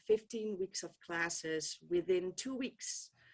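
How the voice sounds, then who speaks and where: With a Dutch accent, a woman speaks at a fairly slow pace with ordinary pitch variation. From Netherlands. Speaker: political science professor. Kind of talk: keynote talk. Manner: hesitant, many ums.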